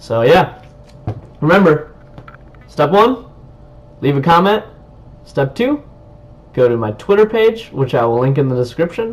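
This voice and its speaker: A loud man with a fairly high pitch speaks in an enthusiastic tone at a fairly slow pace. His pitch swings very widely over noticeable background noise. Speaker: YouTuber reviewing tech. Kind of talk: product review vlog. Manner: casual, enthusiastic. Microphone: webcam built-in mic.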